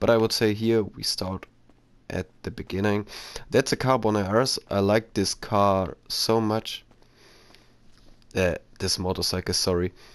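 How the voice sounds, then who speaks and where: In a very clean recording with a silent background, a man with a fairly low voice speaks in fairly even intonation, leaving long, frequent pauses. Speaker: gaming YouTuber. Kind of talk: gameplay commentary. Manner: halting.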